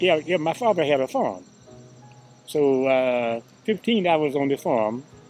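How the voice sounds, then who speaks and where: A man's fairly high voice in a Southern accent, lively intonation at a fairly slow pace with long, frequent pauses, music in the background. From US South, Georgia. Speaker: interviewee. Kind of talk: interview. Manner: halting, repetitive.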